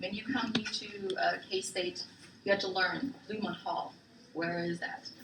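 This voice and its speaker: Audible room echo and noticeable background noise surround a voice that moves at a fairly slow pace with fairly even intonation. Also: woman, medium pitch for a woman. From Germany, Frankfurt (early childhood in Thailand). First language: German. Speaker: military spouse, guest presenter. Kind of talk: class presentation. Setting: classroom with students.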